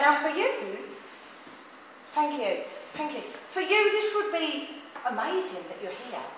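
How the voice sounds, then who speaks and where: A woman speaks with very wide swings in pitch. The room echo is audible, and background noise is noticeable. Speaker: spiritual medium. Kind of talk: live platform mediumship demonstration. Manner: fast.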